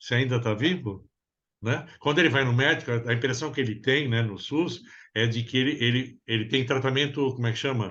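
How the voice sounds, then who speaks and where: A man with an unremarkable speaking voice talks at a fairly quick pace and medium pitch. His loudness stays very even. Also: ordinary pitch variation. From Brazil. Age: 60s. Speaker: psychoanalyst therapist. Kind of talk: interview conversation.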